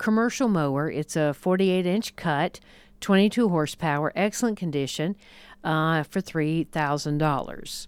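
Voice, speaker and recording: A woman, an ordinary speaking voice, fairly low in pitch with ordinary pitch variation, moderate pace, very even loudness, and a very clean recording over a silent background. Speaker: radio host. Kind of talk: casual chat.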